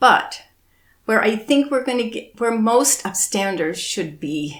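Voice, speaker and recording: Speaking very slowly, a woman uses a fairly high voice with vocal fry and very wide pitch swings. The recording is very clean, with a silent background. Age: 70s. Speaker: activist. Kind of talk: interview.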